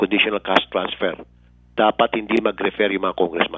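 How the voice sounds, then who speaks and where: A man's fairly low voice in a monotone, with flat intonation. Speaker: radio host. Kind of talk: angry radio commentary, scolding politicians. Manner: passionate, indignant, forceful.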